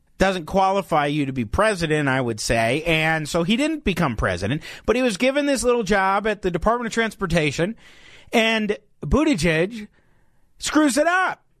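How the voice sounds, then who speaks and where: Against a quiet background, a man speaks in an animated tone at a high pitch. His pitch swings very widely. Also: moderate pace. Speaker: radio host. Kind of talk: live talk radio commentary. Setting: radio studio. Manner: animated, conversational.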